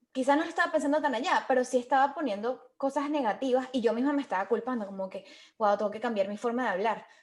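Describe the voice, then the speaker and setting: A woman speaks at a very fast pace in a high voice. Her pitch varies in an ordinary way. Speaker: podcast co-host, call center worker. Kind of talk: casual interview chat.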